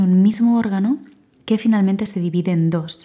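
Calm and somewhat breathy, a woman talks in a dark, mellow tone at a medium pitch, with fairly even intonation and a moderate pace. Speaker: podcast host, voice professional. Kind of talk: solo podcast monologue. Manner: reflective, calm.

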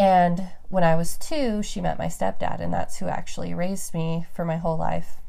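With an American accent, a woman speaks at a moderate pace with hardly any pauses, with audible room echo. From Reno, Nevada, US West. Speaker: podcast host. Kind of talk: casual chat.

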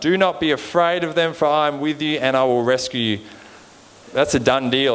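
Through noticeable background noise, a man with an Australian accent speaks in a fairly high voice with lively intonation. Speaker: preacher. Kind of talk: sermon. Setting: church. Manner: informal, joking.

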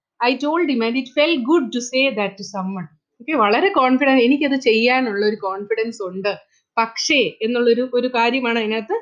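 Her pitch high, a woman talks with ordinary pitch variation. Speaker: teacher. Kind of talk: lecture.

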